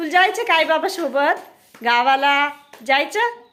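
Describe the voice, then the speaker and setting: A woman's raised, projected voice with lively intonation over noticeable background noise. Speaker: vlogger and mother. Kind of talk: casual vlog chat. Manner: baby talk to infant.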